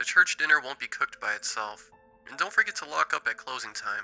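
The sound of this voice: A man puts on a character voice in a Southern US accent, medium in pitch with a bright, sharp tone and vocal fry. He talks at a fairly quick pace over faint background music. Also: lively intonation. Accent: Southern US drawl.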